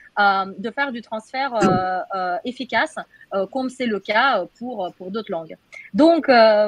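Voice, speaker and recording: A speaker with a Russian accent talks at a fairly slow pace, with ordinary pitch variation. The sound is dry and close, with no echo. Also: woman. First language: Russian (speaking French). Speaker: AI researcher. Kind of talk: webinar panel discussion. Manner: halting, many hesitations.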